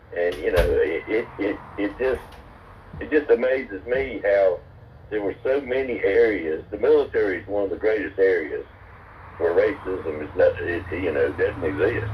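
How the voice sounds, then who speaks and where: Speaking at a moderate pace, a man talks with a North Carolina accent. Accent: Southern US (North Carolina). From US South. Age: 70s. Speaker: military veteran. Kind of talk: casual chat. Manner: halting, many repeated words.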